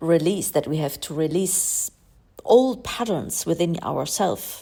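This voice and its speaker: In a non-native accent, a woman with a fairly low pitch and a dark, mellow tone speaks at a very slow pace. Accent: non-native English speaker. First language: German. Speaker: spiritual astrology coach. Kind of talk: podcast monologue.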